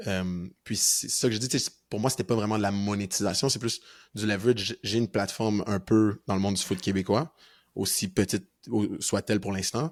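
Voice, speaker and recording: A man in a plain, everyday voice speaks at a fairly low pitch and a moderate pace with fairly even intonation, in a very clean recording with a silent background. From Quebec, North Shore of Montreal. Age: 20s. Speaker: university football player. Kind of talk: podcast interview.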